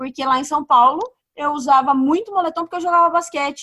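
A woman's voice with a bright, sharp tone. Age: 30s. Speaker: podcast co-host. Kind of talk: casual chat. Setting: remote recording from home.

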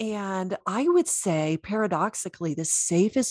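A woman with an American accent speaks at a fairly slow pace, her medium pitch carried by lively intonation. The sound is dry and close with no echo, in a very clean recording with a silent background. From US South. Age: 50s. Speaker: intuitive coach, former chiropractor. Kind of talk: interview.

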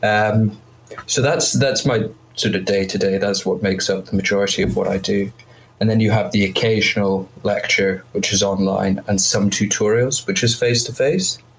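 A man's voice with ordinary pitch variation, set against noticeable background noise. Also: fairly low pitch for a man, moderate pace. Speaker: medical student. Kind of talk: casual chat.

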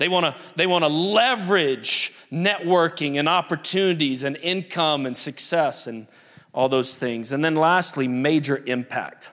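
On a very clean recording with a silent background, the speaker talks at a fairly slow pace in a New Orleans accent, with a bright, sharp, animated tone and ordinary pitch variation. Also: man, fairly high pitch for a man. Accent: Southern US (New Orleans). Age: 40s. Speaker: pastor. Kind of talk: sermon. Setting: church.

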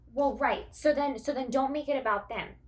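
In a normal speaking voice, a woman talks at a fairly high pitch and a moderate pace. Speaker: podcast co-host. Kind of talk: casual chat.

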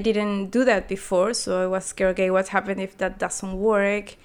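A woman with a Spanish accent at a fairly quick pace, monotone and flat, in a very clean recording with a silent background. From Peru. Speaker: artist and designer. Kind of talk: interview.

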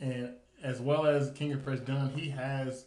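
In an American accent, a man talks fairly slowly at medium pitch with monotone, flat intonation, and the room echo is audible. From US South, Nashville, Tennessee. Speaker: podcast host. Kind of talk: casual chat.

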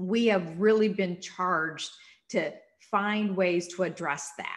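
A woman talks at a fairly slow pace with a Minnesotan accent. Her tone is warm and enthusiastic. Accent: Minnesota. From Minnesota, US. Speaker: nonprofit CEO and former state senator. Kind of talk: interview conversation. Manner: warm, enthusiastic, energetic.

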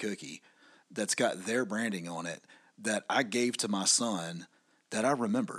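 An ordinary speaking voice at a moderate pace. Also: man. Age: 40s. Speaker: podcast co-host, business owner. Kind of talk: casual chat.

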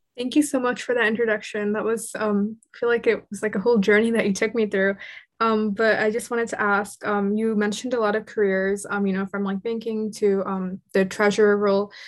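On a very clean recording with a silent background, a woman speaks at a fairly quick pace with hardly any pauses. Her pitch is fairly high and her intonation monotone and flat. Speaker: student podcast host. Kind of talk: casual interview.

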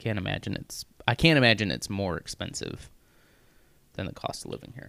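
The recording is dry and close, with no echo. A man with fairly low pitch speaks with vocal fry and lively intonation. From US Midwest, Missouri. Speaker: podcast co-host. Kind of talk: casual chat.

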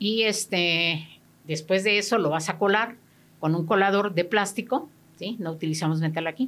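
A woman's normal speaking voice at a medium pitch, with ordinary pitch variation and a moderate pace, on a very clean recording with a silent background. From Mexico, Guerrero state. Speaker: therapist. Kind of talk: radio interview. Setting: radio studio.

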